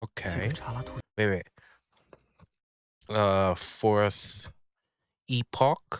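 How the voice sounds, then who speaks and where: A man speaks at a very slow pace and a fairly low pitch, with ordinary pitch variation. Long, frequent pauses break up his speech, and the sound is dry and close with no echo. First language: French. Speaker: anime reaction youtuber. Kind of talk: casual reaction commentary. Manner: animated.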